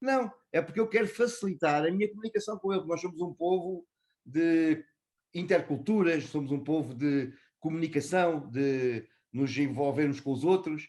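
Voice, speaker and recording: Speaking with a European Portuguese accent, a man uses lively intonation. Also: fairly high pitch for a man, moderate pace. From Portugal. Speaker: customer experience executive. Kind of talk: interview. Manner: hesitant, with filler sounds.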